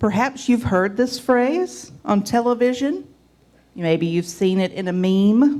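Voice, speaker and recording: Very slowly, a woman speaks in a Southern US accent with a fairly high pitch. Her pitch swings very widely, and her tone is dark and mellow. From US South. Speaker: lay church leader. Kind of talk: sermon.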